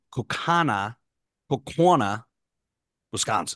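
A man speaks at a fairly slow pace with lively intonation, in a plain, everyday voice. The sound is dry and close with no echo. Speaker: podcast co-host. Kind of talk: casual chat.

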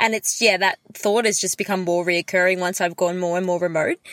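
Talking at a very fast pace, a woman speaks with an Australian accent. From Melbourne, Australia. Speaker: podcast co-host. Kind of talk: casual chat. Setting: video call.

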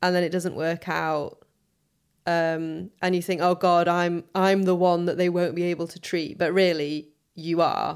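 With a northern English accent, a woman speaks fairly slowly in a fairly low pitch and monotone, flat intonation. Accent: soft northern English. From Sheffield, northern England. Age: 30s. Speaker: interviewee with Crohn's disease. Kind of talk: casual interview.

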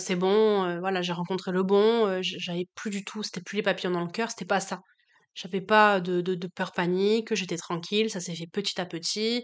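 A woman at medium pitch for a woman, with monotone, flat intonation and a moderate pace, against a quiet background. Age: 20s. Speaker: high school French teacher. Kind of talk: casual chat.

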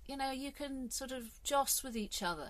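A woman speaks in a southern British accent. Her high-pitched voice has lively intonation. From England. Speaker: podcast host. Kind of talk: solo monologue podcast. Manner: animated, halting with repetitions.

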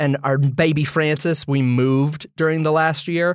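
A man's ordinary speaking voice, fairly high-pitched, with fairly even intonation at a moderate pace on a very clean recording over a silent background. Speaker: podcast co-host. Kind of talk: casual chat.

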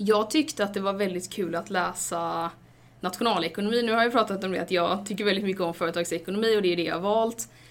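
At a very fast pace, a woman talks at a medium pitch with ordinary pitch variation. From western Sweden, Stenungsund near Gothenburg. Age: 20s. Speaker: university student. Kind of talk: interview.

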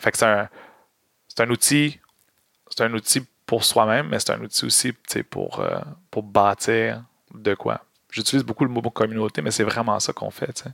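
Recorded dry and close with no echo, a man speaks at a moderate pace with long, frequent pauses. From Quebec, Montreal. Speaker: activist and content creator, former drama teacher. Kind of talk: casual interview.

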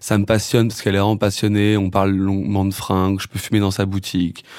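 Here a man talks at a very fast pace. His pitch is fairly low and his intonation monotone and flat. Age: 20s. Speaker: musician and songwriter. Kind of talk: casual interview chat.

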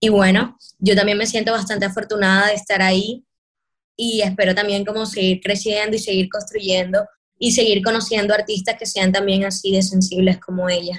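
This woman's voice is somewhat breathy, medium in pitch, monotone and flat in intonation, at a moderate pace. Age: 20s. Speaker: afro hair artist and performer. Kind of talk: interview conversation.

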